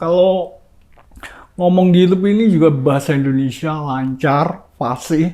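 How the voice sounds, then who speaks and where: Intonation from this man is lively. His tone is dark and mellow. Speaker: YouTuber. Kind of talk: casual vlog monologue. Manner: rambling, repetitive.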